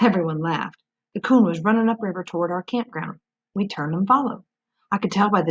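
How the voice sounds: A natural reading voice with ordinary pitch variation is heard against a quiet backdrop.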